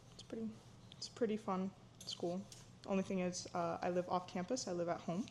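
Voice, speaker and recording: A woman speaks at a fairly quick pace with an American accent and a medium pitch. Her pitch varies in an ordinary way, and her pauses are long and frequent. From Florida, US, Ukrainian-speaking immigrant family. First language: Ukrainian. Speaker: cooking vlogger, student. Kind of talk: casual cooking vlog talk. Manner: casual, with many fillers.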